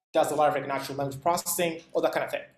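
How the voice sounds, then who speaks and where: A man speaks with a non-native accent. His pitch is fairly high and his intonation fairly even. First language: not English. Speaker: instructor. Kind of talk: lecture. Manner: halting, many fillers.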